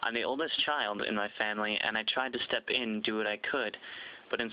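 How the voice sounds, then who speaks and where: With an American accent, a man talks at a fairly quick pace in an unremarkable speaking voice, his fairly low pitch held to fairly even intonation. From US Midwest (Zumbrota, Minnesota). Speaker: athlete applicant. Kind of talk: scripted narration.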